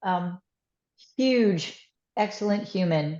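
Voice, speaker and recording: A woman speaks with a New York accent at a fairly low pitch. Her pitch varies in an ordinary way. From US, New York. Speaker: former sports league executive. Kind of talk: webinar talk. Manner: animated.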